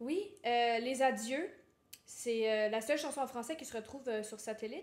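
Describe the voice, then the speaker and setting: A woman speaks with a Quebec accent. Her pitch is fairly high, her intonation fairly even. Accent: Québécois French. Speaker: singer-songwriter. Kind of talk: interview.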